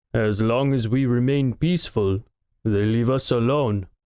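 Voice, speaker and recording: A man's put-on character voice with ordinary pitch variation. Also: medium pitch for a man, moderate pace. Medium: read story. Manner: measured, slow.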